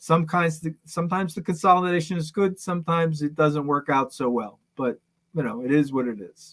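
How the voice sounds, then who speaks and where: Talking at a fairly quick pace, a man with a plain, everyday voice uses a fairly high pitch and ordinary pitch variation. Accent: American. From New York. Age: 60s. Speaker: business consultant. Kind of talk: podcast interview.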